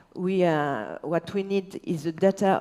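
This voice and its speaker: A woman speaks with a French accent. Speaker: local politician. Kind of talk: panel discussion, partly read. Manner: halting; partly reading aloud.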